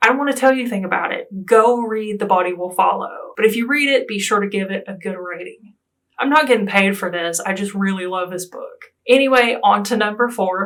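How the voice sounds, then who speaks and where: Fairly quick speech in an American accent, with ordinary pitch variation and hardly any pauses. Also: woman, medium pitch for a woman, big swings in loudness. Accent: Southern US accent, self-described hillbilly. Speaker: booktuber. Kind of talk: casual book review vlog. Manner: animated.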